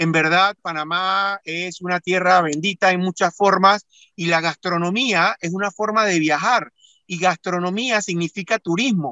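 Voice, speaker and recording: A man with a high voice speaks at a fairly slow pace. His intonation stays fairly even. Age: 40s. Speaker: engineer and amateur paella cook. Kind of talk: radio interview. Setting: remote connection. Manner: halting, frequent repetitions.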